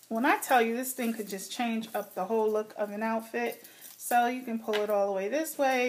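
Against noticeable background noise, a woman with an American accent talks at a fairly high pitch with ordinary pitch variation. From New Jersey. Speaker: beauty and fashion YouTuber. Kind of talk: casual vlog talking to camera. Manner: casual, hesitant with fillers.

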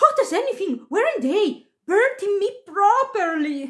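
A woman in a put-on character voice speaks fairly slowly at an extremely high pitch, with big pitch swings.

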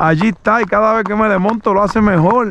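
A man with a high pitch and ordinary pitch variation at a moderate pace, dry and echo-free, with light background noise. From Puerto Rico. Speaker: horse trainer and video host; horse trainer, video host. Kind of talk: casual vlog narration while riding and training a horse. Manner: animated. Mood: calm, relaxed, folksy. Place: open country. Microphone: phone near.

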